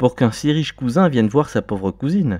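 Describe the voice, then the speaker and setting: A man's put-on character voice at a medium pitch, with very wide pitch swings and a fairly quick pace, on a very clean recording with a silent background. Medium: read story.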